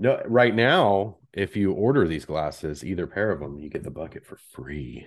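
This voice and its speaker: A man's fairly low pitch with vocal fry, very wide pitch swings and big swings in loudness, at a moderate pace with hardly any pauses, over a quiet background. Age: 40s. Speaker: podcast host. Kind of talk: casual chat. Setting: video call.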